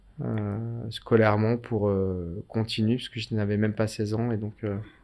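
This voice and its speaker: On a very clean recording with a silent background, a man speaks at a fairly slow pace in a fairly low, dark, mellow voice with monotone, flat intonation. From Paris suburbs, France (Seine-Saint-Denis). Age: 50s. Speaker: mayor. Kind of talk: interview.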